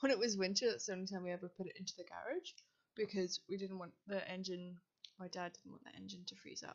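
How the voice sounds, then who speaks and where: A woman at a medium pitch with ordinary pitch variation, a very fast pace and big swings in loudness. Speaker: YouTuber, games content creator. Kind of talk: casual commentary over gameplay. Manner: halting, many fillers.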